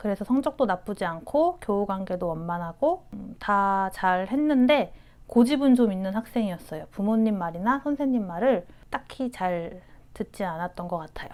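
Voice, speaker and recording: In a very clean recording with a silent background, a woman with a plain, everyday voice speaks at a moderate pace with lively intonation. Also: medium pitch for a woman. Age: 30s. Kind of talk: interview answer.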